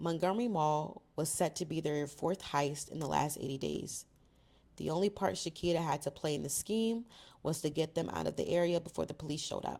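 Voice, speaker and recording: This very clean recording has a silent background. A woman speaks with vocal fry, a very deep, low pitch and ordinary pitch variation. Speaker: book reader and reactor on video channel. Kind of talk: reading aloud; casual commentary.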